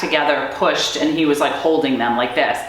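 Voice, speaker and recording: Audible room echo and noticeable background noise around a speaking woman. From US, Maryland. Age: 50s. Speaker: army veteran. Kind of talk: interview testimony.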